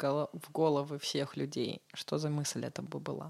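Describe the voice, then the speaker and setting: On a very clean recording with a silent background, the speech moves at a very slow pace. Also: woman. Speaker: interviewer. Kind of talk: interview, casual chat.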